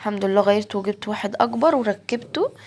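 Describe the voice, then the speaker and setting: A woman talks with an Egyptian accent at a moderate pace. Her pitch is medium. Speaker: home vlogger. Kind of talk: casual vlog narration. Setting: home kitchen.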